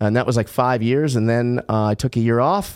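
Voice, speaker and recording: Here a man talks in an ordinary speaking voice at a medium pitch. His pace is moderate. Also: very clean recording, silent background. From Los Angeles, California. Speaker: podcaster and former stand-up comedian. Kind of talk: casual chat.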